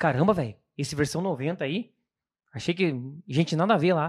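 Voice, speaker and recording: A man talks at a very fast pace with a high pitch and lively intonation. The recording is very clean, with a silent background. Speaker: occupational safety technician. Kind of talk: casual chat.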